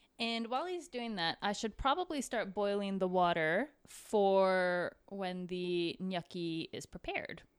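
A woman with a plain, everyday voice speaks at a fairly slow pace and a medium pitch, with ordinary pitch variation. There are hardly any pauses, and the recording is very clean with a silent background. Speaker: cooking show co-host. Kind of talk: casual cooking tutorial.

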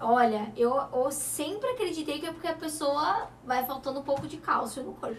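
An animated woman's voice, high in pitch, with big swings in loudness, ordinary pitch variation and a moderate pace. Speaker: TV show host. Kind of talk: talk show interview.

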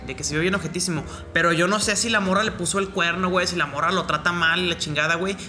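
Against music in the background, a man talks at a very fast pace in a high pitch with fairly even intonation. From Mexico. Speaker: rapper. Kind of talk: casual chat.

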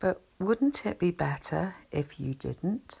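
Very slow and soothing, the voice comes through on a very clean recording with a silent background. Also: woman. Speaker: anxiety relaxation channel host. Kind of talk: soothing spoken explanation with story. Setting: home recording, quiet house. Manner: slow, calming soothing delivery.

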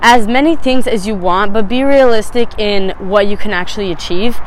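A woman with an American accent at a fairly slow pace, with noticeable background noise. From Phoenix, Arizona. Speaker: podcast host. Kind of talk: casual solo monologue. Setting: outdoors on a rooftop.

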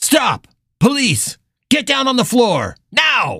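This is a put-on character voice that sounds female, pitched high and shouting. The words come at a very slow pace. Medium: read story. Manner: commanding, shouting orders.

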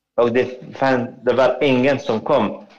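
The pace is very slow. A man delivers it at a medium pitch. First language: Arabic (speaking Swedish). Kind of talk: testimony. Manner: halting.

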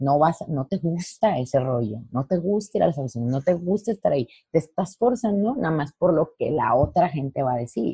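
At a moderate pace, a woman speaks in a somewhat breathy voice with a very deep, low pitch and very wide pitch swings. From Mexico, Lerdo, Durango. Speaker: dancer and dance teacher. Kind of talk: interview.

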